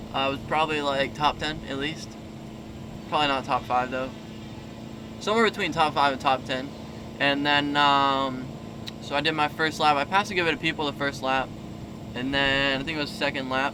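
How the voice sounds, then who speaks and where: A man talks at a fairly quick pace with long, frequent pauses, his pitch fairly high and his intonation fairly even. Noticeable background noise runs under his speech. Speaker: motocross racer and vlogger. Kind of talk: casual vlog talk. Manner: quiet.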